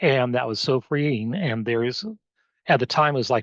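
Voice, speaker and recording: Someone with an American accent speaks with ordinary pitch variation, recorded dry and close with no echo against a quiet background. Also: man. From Oregon. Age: 60s. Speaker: recovery coach. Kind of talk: interview testimony. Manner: halting, with fillers.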